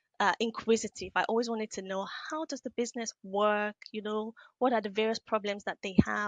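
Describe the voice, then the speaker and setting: A woman with a Nigerian accent talks at a fairly quick pace, her pitch varying in an ordinary way. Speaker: business analyst and trainer. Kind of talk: podcast interview. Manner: hesitant, many fillers.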